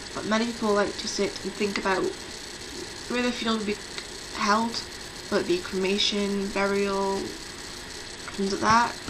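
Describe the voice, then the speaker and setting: With long, frequent pauses, a woman speaks at a moderate pace, her medium-pitched voice fairly even in intonation. Noticeable background noise and audible room echo fill the recording. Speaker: pagan vlogger. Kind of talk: casual video talk.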